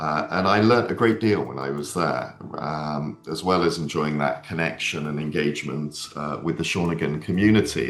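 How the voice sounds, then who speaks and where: With music in the background and audible room echo, a man with a British accent speaks in a very deep, low pitch with ordinary pitch variation. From Britain. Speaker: head of school. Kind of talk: panel webinar discussion.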